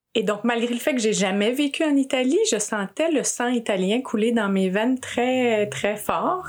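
Speaking in a Quebec accent at a fairly slow pace with hardly any pauses, a woman with a fairly high pitch keeps her loudness very even and her pitch variation ordinary. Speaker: podcast host and executive coach. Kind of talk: interview conversation.

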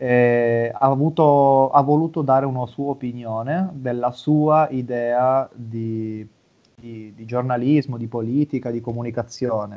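A man with an unremarkable speaking voice talks at a fairly slow pace with medium pitch, fairly even intonation and big swings in loudness. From Italy. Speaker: psychologist and sports mental coach. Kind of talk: interview.

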